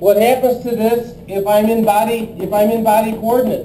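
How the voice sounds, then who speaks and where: There is audible room echo and noticeable background noise around a man's high-pitched voice. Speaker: engineering lecturer. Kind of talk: lecture.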